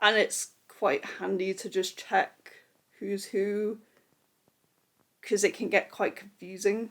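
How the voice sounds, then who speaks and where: A woman speaks at a medium pitch. She mumbles her words. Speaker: book vlogger. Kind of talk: casual talk to camera. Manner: mumbling.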